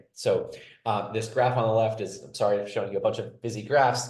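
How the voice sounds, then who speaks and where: A man's voice in audible room echo. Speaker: political science researcher. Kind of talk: webinar panel presentation. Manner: fast.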